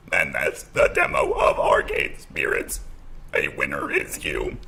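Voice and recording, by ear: A robotic, put-on character voice at a fairly slow pace, with light background noise. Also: man, extremely high pitch for a man.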